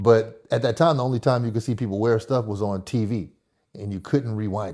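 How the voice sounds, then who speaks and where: A man with an American accent, medium pitch, ordinary pitch variation and a dark, mellow tone at a moderate pace, on a very clean recording with a silent background. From Oakland, California. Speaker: clothing brand owner and visual artist. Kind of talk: interview.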